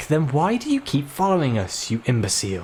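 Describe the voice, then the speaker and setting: A put-on character voice swings very widely in pitch at a fairly quick pace. Clear background noise is present. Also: man, fairly high pitch for a man. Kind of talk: posh. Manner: yelling, scornful.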